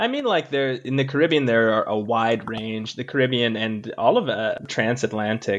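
A man's medium-pitched voice at a moderate pace, with ordinary pitch variation, hardly any pauses and noticeable background noise. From Canada, Jamaican household. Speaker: doctoral student. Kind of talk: interview. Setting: remote recording.

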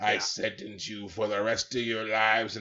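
In a put-on character voice, a man speaks with a gravelly, monotone, flat delivery at a medium pitch and a moderate pace. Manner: harsh, sentencing.

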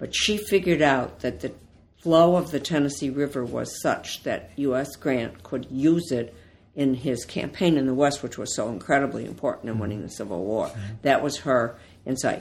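In an Ohio accent, a woman speaks at a moderate pace with a very deep, low pitch and lively intonation. The recording is very clean, with a silent background. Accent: Northern US, Ohio, similar to host. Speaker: author. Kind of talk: interview conversation.

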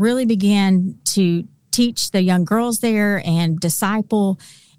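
The voice goes at a fairly slow pace with ordinary pitch variation on a very clean recording with a silent background. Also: woman. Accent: Southern US. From Arkansas. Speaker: Bible teacher. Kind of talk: casual interview.

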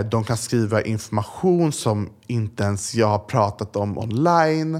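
A plain, everyday voice, fairly slow, with lively intonation. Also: man, very clean recording, silent background. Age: young. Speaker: influencer. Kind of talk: interview.

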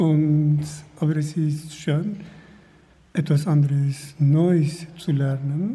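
At a very slow pace, a man speaks with fairly high pitch for a man, a somewhat breathy sound and fairly even intonation. Long, frequent pauses break his speech, and room echo is audible. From Kurdish region. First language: Kurdish (speaking German). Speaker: refugee, language student. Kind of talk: interview. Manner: halting.

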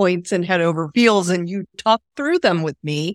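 A woman with a medium-pitched voice uses lively intonation. The recording is very clean, with a silent background and a dry, close sound without echo. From Texas. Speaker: romance author. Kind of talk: casual interview chat.

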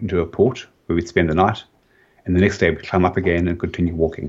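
Against a quiet background, a man with a South African accent talks at a very fast pace in a very deep, low, somewhat breathy voice. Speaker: website founder.

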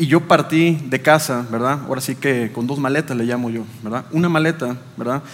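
A man talks at a moderate pace with a medium pitch. His intonation is fairly even, and noticeable background noise can be heard. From Chiapas, Mexico (Tapachula). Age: 30s. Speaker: business executive. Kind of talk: interview testimony.

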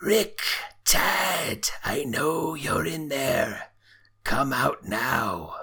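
A raspy, put-on character voice at a middle pitch moves at a very slow pace. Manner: menacing.

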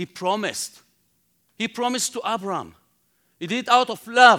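Speaking with an Israeli accent, a man has a bright, sharp tone and a moderate pace. The recording is very clean, with a silent background. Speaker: Bible teacher. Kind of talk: sermon. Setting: conference stage with audience.

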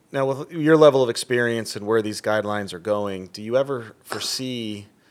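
A man with an ordinary speaking voice at a moderate pace, on a very clean recording with a silent background. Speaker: podcast host. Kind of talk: interview, professional conversation.

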